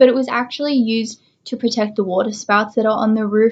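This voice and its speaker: With an Australian accent, a woman talks using fairly even intonation. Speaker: educational YouTuber. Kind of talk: informal educational presentation. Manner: casual, frequent fillers.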